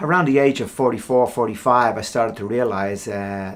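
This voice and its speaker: This man speaks with an Irish accent. His pace is fairly quick. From Ireland. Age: 50s. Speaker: professional golfer. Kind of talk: interview answer. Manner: casual, hesitant.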